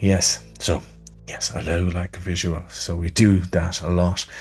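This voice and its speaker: Over music in the background, a man with a west of Ireland accent talks in a very deep, low voice with fairly even intonation. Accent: west of Ireland Irish. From Ireland, Portumna, County Galway. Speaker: musician and radio presenter. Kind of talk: interview answers, self-recorded. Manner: casual, rambling with fillers.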